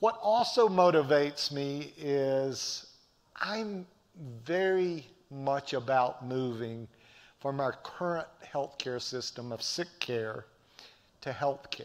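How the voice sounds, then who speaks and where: With a Southern US accent, a man speaks at a very slow pace, his fairly high pitch carried by lively intonation. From US South, Appalachian North Carolina. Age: 60s. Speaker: professor. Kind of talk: lecture. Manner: animated, preacher-like.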